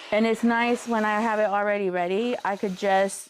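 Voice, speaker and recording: A woman with a plain, everyday voice talks fairly slowly, her medium pitch held in fairly even intonation. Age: 50s. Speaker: quilter. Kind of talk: live stream tutorial chat. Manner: casual, chatty.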